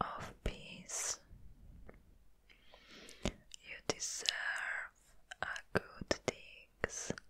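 This woman is whispering. She goes at a very slow pace. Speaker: ASMR creator. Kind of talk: ASMR roleplay, comforting personal attention with positive affirmations. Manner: soft, gentle, comforting. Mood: caring, reassuring. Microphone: studio mic.

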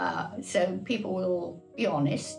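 A woman talks at a very slow pace. Faint music plays in the background. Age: 80s+. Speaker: artist. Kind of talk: interview answer. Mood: warm, encouraging. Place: home room.

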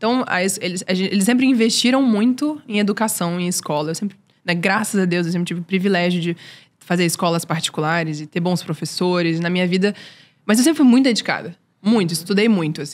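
The pace is fairly quick. A woman speaks with ordinary pitch variation. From Brazil, Recife-born, raised in Brasília; Brazil. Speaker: singer and writer; podcast guest. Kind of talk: interview. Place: studio. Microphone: studio mic.

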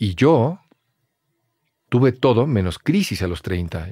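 Against a quiet background with dry sound and no echo, a man's dark, mellow voice makes very wide pitch swings. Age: 40s. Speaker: actor. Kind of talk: casual chat. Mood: reflective, thoughtful. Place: studio. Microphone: studio mic.

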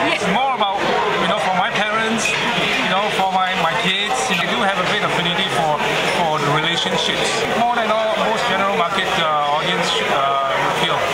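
Over loud background noise, a man talks with ordinary pitch variation. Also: moderate pace. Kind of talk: interview answer. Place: hall. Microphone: phone near.

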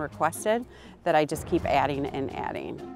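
A woman's very deep, low voice at a fairly quick pace, dry with no echo, over clear background music. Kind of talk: interview answer. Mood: cheerful, laughing. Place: street. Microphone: lapel.

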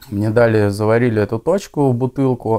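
A dark, mellow tone with fairly even intonation and a moderate pace, against a quiet background. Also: man. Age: 20s. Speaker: former drug addict in recovery. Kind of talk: interview testimony. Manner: casual, slangy. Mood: calm, subdued confessional. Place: home room. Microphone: lapel.

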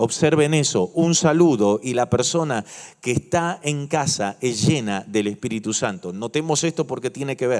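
Moderate pace from a man, with a quiet background. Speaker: pastor. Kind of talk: sermon. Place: church. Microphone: handheld.

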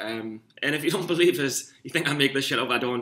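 With a Geordie accent, a man talks in a bright, sharp tone. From northern England, Newcastle. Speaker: amateur stock trader vlogger. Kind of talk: casual vlog monologue. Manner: rambling, hesitant with fillers. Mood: self-mocking, a bit rough. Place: home room. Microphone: webcam.

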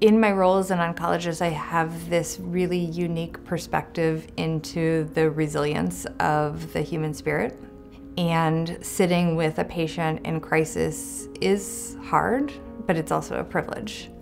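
A woman speaks at a fairly slow pace with a fairly low pitch. Light background noise can be heard. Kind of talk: interview answer. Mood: warm, reflective. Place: office.

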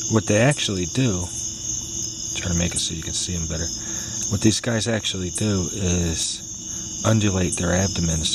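The sound is dry with no echo, with noticeable background noise. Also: man. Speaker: nature videographer. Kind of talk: casual nature talk to camera. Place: garden. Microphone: phone near.

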